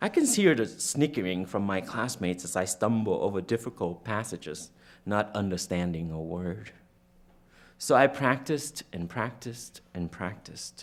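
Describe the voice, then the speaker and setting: Speaking at a moderate pace in a Californian accent, a man uses lively intonation and a fairly low pitch. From Vietnam. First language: Vietnamese. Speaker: author. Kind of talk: reading aloud.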